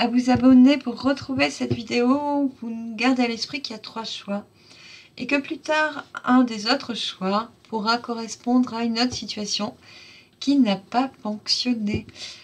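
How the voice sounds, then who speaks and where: This woman's voice is high-pitched, and her delivery is fairly slow. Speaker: oracle card reader. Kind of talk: channel outro of a card reading. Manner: warm, enthusiastic.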